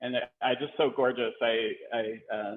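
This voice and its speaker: The voice belongs to a man and sits at a medium pitch. Its intonation is fairly even. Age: 50s. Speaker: gallery curator. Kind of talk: virtual curator tour. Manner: halting, many fillers.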